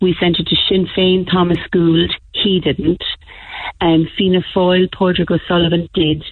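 This woman talks with an Irish accent. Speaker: parent. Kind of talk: radio call-in. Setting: phone call.

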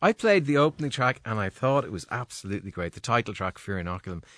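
The pace is fast, with a fairly bright tone. Pitch swings are big. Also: man, fairly low pitch for a man.

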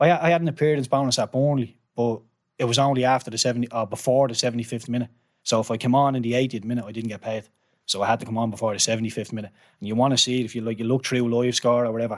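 Speaking at a very fast pace, a man with a Dublin accent keeps a medium pitch and fairly even intonation. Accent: Irish, Dublin. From Ireland. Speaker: former professional footballer. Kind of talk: interview storytelling.

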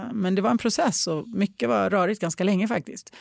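Speaking at a moderate pace, a woman is heard with a dry, close sound with no echo on a very clean recording with a silent background. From moved to Sweden at age five. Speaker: podcast host. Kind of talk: casual chat. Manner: animated.

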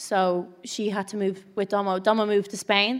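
Someone speaks with an Irish accent in a very clean recording with a silent background. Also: woman. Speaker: influencer and business owner. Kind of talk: casual chat. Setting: stage with audience.

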